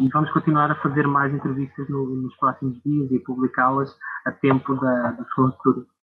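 The speaker talks at a moderate pace with a European Portuguese accent. The intonation stays monotone and flat. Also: man. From Portugal. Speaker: journalist. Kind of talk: interview. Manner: halting.

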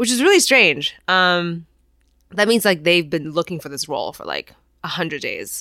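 This woman has a very deep, low pitch and a bright, sharp tone, speaking at a fairly quick pace with lively intonation. The recording is very clean, with a silent background. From Taiwan. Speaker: stand-up comedian and actor. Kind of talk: casual interview chat.

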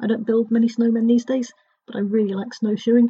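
A very fast-talking woman with a southern English accent. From Dorset, England. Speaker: travel blogger. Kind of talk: recorded contribution, casual.

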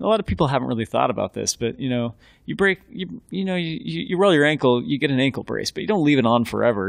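With very wide pitch swings, a man talks at a very fast pace with hardly any pauses. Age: 30s. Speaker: running shoe company founder. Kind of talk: casual interview.

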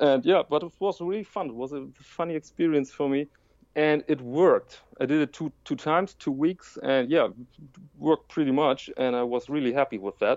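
A man with a German accent, fairly high pitch, ordinary pitch variation. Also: moderate pace. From Germany. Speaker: watch YouTuber and print journalist. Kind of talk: interview conversation. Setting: remote call.

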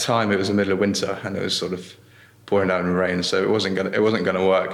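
In a room with audible echo, a man of fairly low pitch speaks at a very fast pace with monotone, flat intonation. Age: young. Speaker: salt producer and entrepreneur. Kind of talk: interview. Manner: halting.

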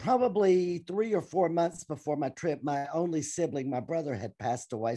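Over a quiet background, a woman with a Southern US accent speaks at a moderate pace, her very deep, low voice dark and mellow and her intonation lively. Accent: Southern American. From US South, Tennessee. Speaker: teacher and churchgoer. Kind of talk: interview testimony.

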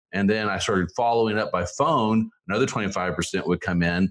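A man with an American accent speaks in an unremarkable speaking voice. His pitch is fairly low, with ordinary variation. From Oklahoma, Tulsa area. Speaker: small business lawyer. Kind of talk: interview.

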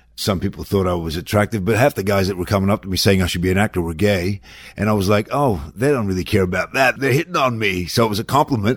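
Speech comes at a very fast pace with ordinary pitch variation in a very clean recording with a silent background. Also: man, fairly low pitch for a man. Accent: Australian. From Australia, Melbourne. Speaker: actor. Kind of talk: interview. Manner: candid, profane.

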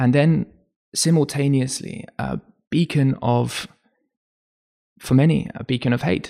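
A man with a dark, mellow tone speaks at a medium pitch and a fairly slow pace. His intonation is fairly even, with long, frequent pauses. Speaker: podcast host. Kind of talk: interview conversation.

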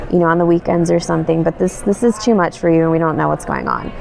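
There's noticeable background noise. A woman speaks at a very fast pace. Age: 30s. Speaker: blogger with Crohn's disease. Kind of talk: interview. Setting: at a conference.

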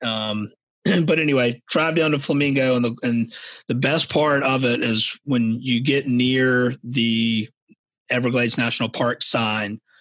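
Speaking at a fairly slow pace, the voice is an ordinary speaking voice with an American accent. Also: man. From Savannah, Georgia, US South. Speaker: podcast host. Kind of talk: casual interview chat.

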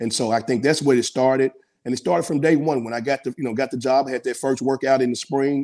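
Talking fairly quickly with fairly even intonation, a man at medium pitch speaks with a Memphis accent. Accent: US Southern (Memphis). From Memphis, Tennessee. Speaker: college basketball coach. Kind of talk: interview. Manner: casual.

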